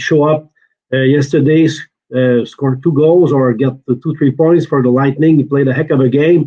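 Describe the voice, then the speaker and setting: In a Quebec accent, a man speaks with a fairly high pitch. His pace is fairly quick and his intonation fairly even. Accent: French-Canadian accent in English. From Quebec, Shawinigan. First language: French. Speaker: hockey reporter. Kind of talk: casual sports chat. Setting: hotel room, video call. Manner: hesitant, many uh fillers.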